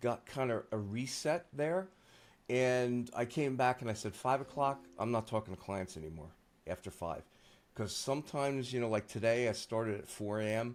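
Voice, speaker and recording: In a plain, everyday voice, a man talks at a moderate pace with a medium pitch. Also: ordinary pitch variation. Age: 60s. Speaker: SEO agency founder. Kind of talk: interview conversation. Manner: casual, filler-heavy.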